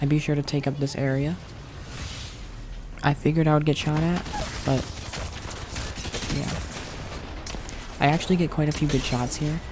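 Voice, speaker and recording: Over noticeable background noise, a soft-spoken man talks at a fairly quick pace with long, frequent pauses. His voice is fairly high and his tone calm, with monotone, flat intonation. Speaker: Apex Legends content creator. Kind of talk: gameplay review commentary, ASMR. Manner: soft-spoken, calm.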